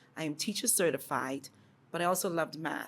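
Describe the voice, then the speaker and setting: Talking at a very fast pace, a woman speaks in a Bahamian accent with ordinary pitch variation. The recording is very clean, with a silent background. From Bahamas. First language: Bahamian dialect. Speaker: educator. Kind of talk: interview. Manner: animated.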